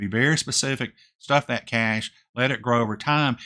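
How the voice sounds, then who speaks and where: Fast-ish and mumbled, the speech has a bright, sharp tone. The recording is very clean, with a silent background. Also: man. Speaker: retirement finance youtuber. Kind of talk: casual vlog talk to camera. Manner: mumbling, voice drops off; hesitant with fillers.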